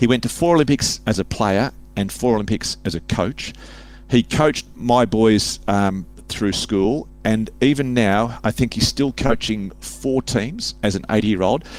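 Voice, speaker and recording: Here a man talks with an Australian accent. His pitch is fairly low. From Sydney, Australia. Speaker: author and public speaker. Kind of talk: casual interview chat.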